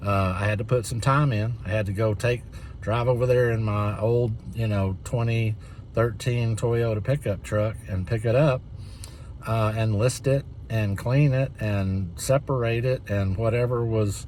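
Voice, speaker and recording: The speech is fairly slow and somewhat breathy, with fairly even intonation. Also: man, medium pitch for a man. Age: 60s. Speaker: reseller, channel owner. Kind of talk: casual talk-to-camera tutorial. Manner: halting, many fillers.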